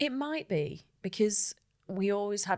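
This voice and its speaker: A woman with a Manchester accent speaks with ordinary pitch variation. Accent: northern English (Manchester). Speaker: marketing executive. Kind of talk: podcast interview. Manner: animated.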